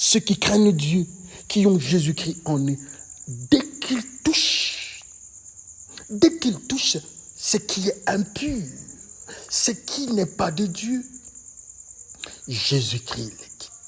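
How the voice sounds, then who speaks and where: Delivery is very slow, with long, frequent pauses. Noticeable background noise is present. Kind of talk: sermon.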